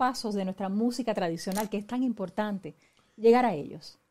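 A woman speaks at a moderate pace with a dark, mellow tone. Her pitch varies in an ordinary way. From Puerto Rico. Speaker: radio host and musicologist; radio host. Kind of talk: interview. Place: studio.

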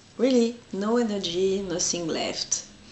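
With audible room echo, a woman speaks at a fairly slow pace in a medium pitch, using a slightly mellow tone and ordinary pitch variation.

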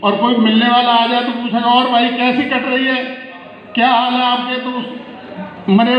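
A man with an extremely high pitch talks at a fairly slow pace, with audible room echo and light background noise. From Etah district, Uttar Pradesh; Uttar Pradesh. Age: 60s. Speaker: retired police sub-inspector, network marketing member. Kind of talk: award acceptance speech. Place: hall.

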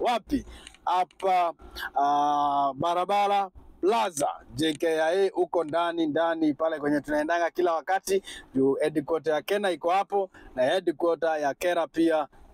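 This man has a high pitch with ordinary pitch variation, speaking at a fairly slow pace. The sound is dry with no echo, over light background noise. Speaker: car channel vlogger. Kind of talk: casual vlog chat. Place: car. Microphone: phone near.

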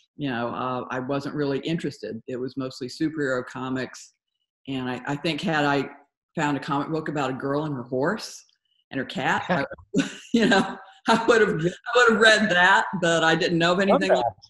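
The background is quiet, though audible room echo surrounds her. A woman with a very deep, low pitch talks at a fairly quick pace, her loudness swinging widely. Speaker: guest. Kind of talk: interview answer. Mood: relaxed, occasionally laughing. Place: home room. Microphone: video call.

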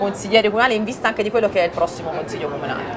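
A woman's pitch rises and falls in a normal way while background noise is clearly audible. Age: 20s. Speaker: local TV news presenter. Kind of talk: TV news magazine interview. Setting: outdoor set in the town square.

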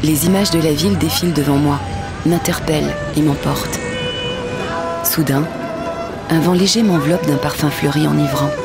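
A woman talks at a moderate pace, the sound dry with no echo. Clear music plays in the background. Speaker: voice actor. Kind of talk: travel narration, voice-over demo. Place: studio. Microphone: studio mic.

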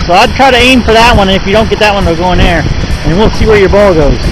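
Music plays in the background of this dry recording with no echo. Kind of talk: casual encouraging commentary. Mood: warm, encouraging. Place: open country. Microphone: phone near.

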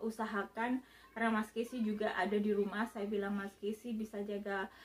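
Her pace fairly quick, a woman speaks in a monotone, flat intonation. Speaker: psychotherapist vlogger. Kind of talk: casual vlog chat. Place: home room. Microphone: phone near.

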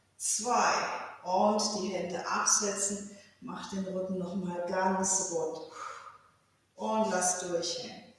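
A woman speaks at a very slow pace with fairly even intonation and long, frequent pauses, in a room with strong echo. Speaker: fitness instructor. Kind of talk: exercise class instructions. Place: home room. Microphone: camera far.

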